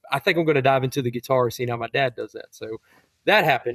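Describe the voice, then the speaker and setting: A man with an unremarkable speaking voice talks at a medium pitch with ordinary pitch variation, the sound dry and close with no echo. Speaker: high school English teacher and country songwriter. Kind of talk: interview answer.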